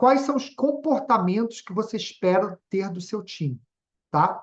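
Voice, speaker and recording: With lively intonation and a high pitch, a man talks at a fairly slow pace. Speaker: webinar speaker on leadership. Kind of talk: webinar presentation. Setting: online webinar.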